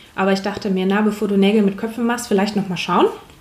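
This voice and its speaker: There is noticeable background noise behind a woman speaking at medium pitch. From northern Germany, Hamburg. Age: 20s. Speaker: paramedic. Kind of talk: casual chat. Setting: in a roof-tent travellers' base.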